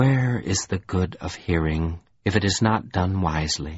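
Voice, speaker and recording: This man adopts a put-on character voice. It sits at a very deep, low pitch. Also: moderate pace. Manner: sad, musing, reflective.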